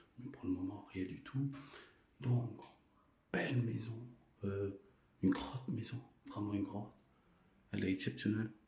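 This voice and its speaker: A soft-spoken man with a fairly low pitch talks at a moderate pace, his tone dark and mellow and somewhat breathy. His intonation stays fairly even, broken by long, frequent pauses. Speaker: urban exploration vlogger. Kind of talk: exploration vlog narration. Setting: inside an abandoned house. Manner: speaking softly.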